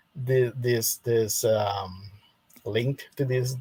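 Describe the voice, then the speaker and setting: Speaking with a Spanish accent, a man talks at a very slow pace in a medium pitch, somewhat breathy and with monotone, flat intonation. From Costa Rica. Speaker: Adventist believer, debate guest. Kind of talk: theological debate. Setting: live stream. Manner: halting, many repetitions.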